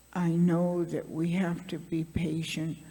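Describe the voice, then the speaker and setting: A woman's fairly low, somewhat breathy voice with a dark, mellow tone and a very slow pace. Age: 80s+. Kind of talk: panel talk, personal story.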